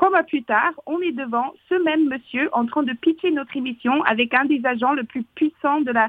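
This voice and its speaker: A woman talks with ordinary pitch variation. Her pace is moderate. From Canada, northern Alberta. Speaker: author and public speaking coach. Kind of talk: interview. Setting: phone call.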